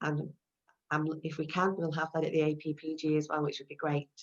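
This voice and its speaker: A woman's very deep, low pitch at a fairly quick pace, in monotone, flat intonation. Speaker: online business briefing host. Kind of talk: video call discussion. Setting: video call. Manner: fast.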